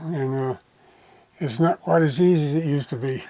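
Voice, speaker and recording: Very fast and with fairly even intonation, a man talks at a fairly high pitch in a dark, mellow tone. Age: 80s+. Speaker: RC model plane builder and pilot. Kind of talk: casual interview.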